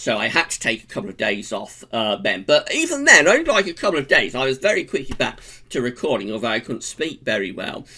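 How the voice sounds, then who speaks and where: This man talks at a very fast pace. He has an English accent. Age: 40s. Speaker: vlogger. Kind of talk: casual vlog monologue. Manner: hesitant, many fillers.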